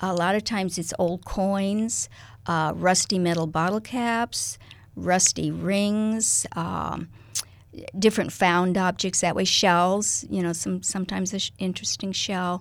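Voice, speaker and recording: With a Midwestern American accent, a woman talks at medium pitch and a fairly slow pace, with ordinary pitch variation. The recording is very clean, with a silent background. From US Midwest, Kansas-Nebraska border. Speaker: artist. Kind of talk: interview. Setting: radio studio.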